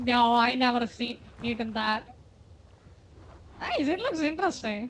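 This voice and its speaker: A woman's high voice with a non-native accent, fairly slow in pace, with ordinary pitch variation and noticeable background noise. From India. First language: not English. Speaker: game streamer. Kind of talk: casual chat. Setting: live stream.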